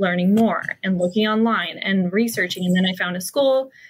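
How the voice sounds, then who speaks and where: There is a somewhat breathy quality to this woman's voice. She keeps her delivery at a moderate pace. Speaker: hypnotherapist and coach. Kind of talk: casual interview chat. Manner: casual, many fillers.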